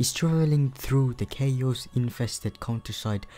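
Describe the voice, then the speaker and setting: Music plays behind a man's voice. He keeps a moderate pace with ordinary pitch variation. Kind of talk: casual anime list commentary. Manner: quiet.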